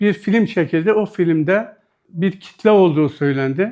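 This man talks at a moderate pace with a high pitch. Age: 60s. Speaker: retired patient. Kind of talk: news interview testimony.

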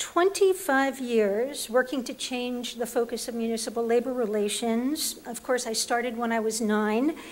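A woman's high-pitched voice with ordinary pitch variation, at a fairly slow pace. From New York, the Bronx. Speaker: labor relations professor. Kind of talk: panel presentation. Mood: light humor, engaged. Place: hall. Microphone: podium.

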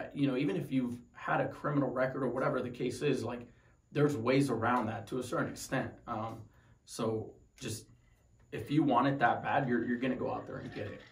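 Captured with audible room echo, a man with an American accent talks at a fairly quick pace, somewhat breathy and at a medium pitch. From Tucson, Arizona; Arizona. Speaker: wounded Marine veteran. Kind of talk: personal story interview. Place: home room.

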